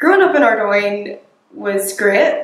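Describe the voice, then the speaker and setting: With a Belfast accent, a woman speaks at a moderate pace and medium pitch, with audible room echo. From Northern Ireland, north Belfast. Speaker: local resident, recent graduate; interviewee. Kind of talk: interview testimony. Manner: hesitant with fillers. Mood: calm, reflective. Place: home room.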